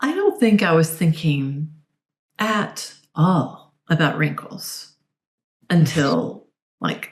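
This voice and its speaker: Using vocal fry, a woman with a fairly low pitch speaks at a very slow pace with long, frequent pauses and ordinary pitch variation. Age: 60s. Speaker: dietitian and body image coach. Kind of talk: podcast interview.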